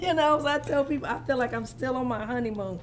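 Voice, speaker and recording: Someone with a Southern accent speaks over noticeable background noise. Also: woman. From North Carolina. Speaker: marriage coach. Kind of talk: interview.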